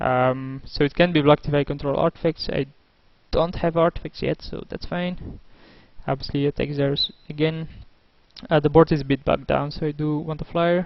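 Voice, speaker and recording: With a non-native accent, a man talks in a monotone, flat way at a moderate pace, his pitch fairly high and his pauses long and frequent. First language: not English. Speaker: gaming video creator. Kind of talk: gameplay commentary monologue. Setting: at home. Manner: hesitant, many fillers.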